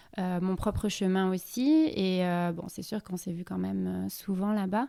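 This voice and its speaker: At a fairly slow pace, a woman speaks with medium pitch and ordinary pitch variation. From southern France. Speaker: expatriate sharing her experience. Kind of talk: casual interview chat. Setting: podcast recording. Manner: hesitant, many fillers.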